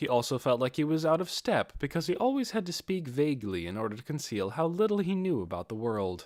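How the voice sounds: A man's fairly high voice with big pitch swings, a slightly mellow tone and a moderate pace, on a very clean recording with a silent background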